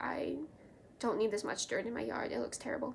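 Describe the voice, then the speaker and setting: An animated-toned woman amid noticeable background noise. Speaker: knitting video creator. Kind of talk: casual show-and-tell vlog. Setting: at home.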